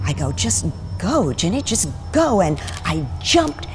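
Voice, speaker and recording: A woman speaks over noticeable background noise. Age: 60s. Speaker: athlete and former actress. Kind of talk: personal testimony interview.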